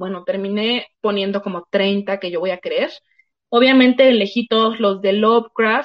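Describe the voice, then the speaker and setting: An ordinary speaking voice from a woman, fairly high in pitch, at a fairly slow pace with ordinary pitch variation. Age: 20s. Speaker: book YouTuber. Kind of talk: interview about books.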